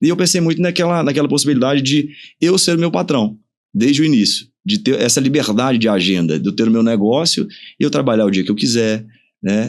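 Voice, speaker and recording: A man talks at a fairly quick pace with very wide pitch swings and very even loudness over a quiet background. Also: medium pitch for a man. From interior of Pará, Brazil (until 15), then Minas Gerais. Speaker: dentist and clinic owner. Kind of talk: podcast interview.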